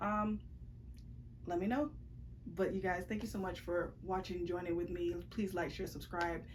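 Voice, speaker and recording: A woman with a medium pitch and vocal fry speaks with fairly even intonation, leaving long, frequent pauses. Audible room echo surrounds her voice. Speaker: book vlogger. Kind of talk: casual vlog chat. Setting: bedroom. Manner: fast.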